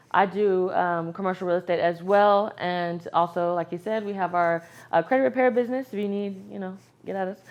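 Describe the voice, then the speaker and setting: Speaking at a fairly quick pace, a woman with an American accent uses an ordinary speaking voice at a medium pitch with fairly even intonation. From West Texas (San Angelo). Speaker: lifestyle vlogger. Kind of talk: casual chat.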